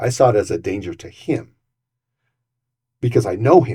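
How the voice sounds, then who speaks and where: Dark and mellow in tone and somewhat breathy, a man talks at a medium pitch and a moderate pace. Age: 60s. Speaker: city council candidate. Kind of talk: interview.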